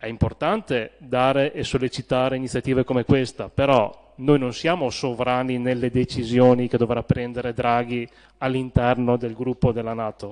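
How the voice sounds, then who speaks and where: A man speaks in a normal speaking voice. His pitch is medium and his pace moderate. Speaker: town councillor. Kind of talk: council debate speech.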